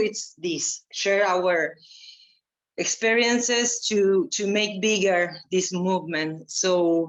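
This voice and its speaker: Speaking at a very slow pace in a Spanish accent, a woman shows ordinary pitch variation. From Argentina. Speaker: environmental activist and performer. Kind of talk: panel talk. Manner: slow, halting.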